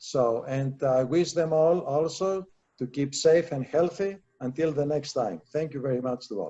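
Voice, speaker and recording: This man has a fairly high pitch and a dark, mellow tone, speaking at a moderate pace with ordinary pitch variation. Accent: Greek. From Greece. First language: Greek. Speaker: attorney presenter. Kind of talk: presentation and thanks. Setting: virtual live event.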